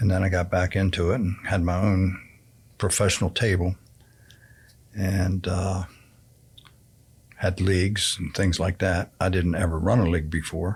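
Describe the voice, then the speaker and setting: A man with a very deep, low pitch speaks at a moderate pace in a flat, monotone way, somewhat breathy, with long and frequent pauses. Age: 70s. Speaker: senior community resident, pool league organizer. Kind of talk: interview.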